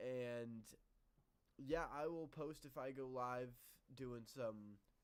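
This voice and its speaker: Here a man speaks very slowly at a medium pitch. His intonation is fairly even. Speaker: sports podcast host. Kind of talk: casual chat. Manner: sleepy, low energy.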